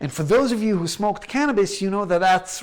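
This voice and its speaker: The speaker is a man with an American accent. His intonation is lively. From Israel and the United States. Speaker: researcher and lecturer. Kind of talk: online lecture. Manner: slow, halting with fillers.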